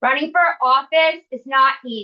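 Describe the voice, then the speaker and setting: A loud, high-pitched woman's voice with ordinary pitch variation. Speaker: club organizer. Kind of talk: closing remarks. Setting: forum with audience, no microphone.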